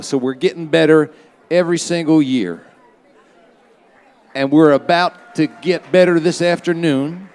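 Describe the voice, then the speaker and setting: Over noticeable background noise, a man with an American accent speaks at a moderate pace, his pitch fairly high with ordinary variation. He leaves long, frequent pauses. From Philadelphia. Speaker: festival emcee. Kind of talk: live stage announcements. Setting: stage with audience. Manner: loud; casual, with fillers.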